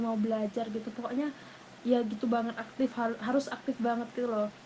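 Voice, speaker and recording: A woman talks at a fairly quick pace with a fairly high pitch and monotone, flat intonation. Noticeable background noise runs underneath. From Thailand. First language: Thai (speaking Indonesian). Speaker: university student and language tutor. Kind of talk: casual interview. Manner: hesitant, many fillers.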